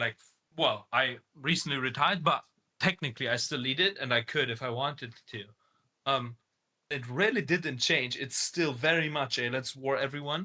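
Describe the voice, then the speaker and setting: With a German accent, a man speaks at a moderate pace in a fairly high, bright and sharp voice with ordinary pitch variation. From Germany. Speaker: online game community leader. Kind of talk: interview. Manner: casual, hesitant with fillers.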